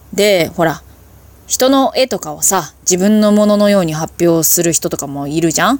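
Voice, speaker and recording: A woman's medium-pitched voice at a moderate pace. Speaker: solo podcaster. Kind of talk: casual monologue. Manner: self-deprecating, deferential tone; casual, chatty with fillers.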